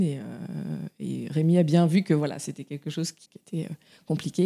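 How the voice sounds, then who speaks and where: A woman's dark, mellow voice at fairly low pitch, at a fairly quick pace, with a dry, close sound and no echo. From France, Touraine. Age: 30s. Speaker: mother sharing her story. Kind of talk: testimony. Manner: hesitant, with fillers and repetitions.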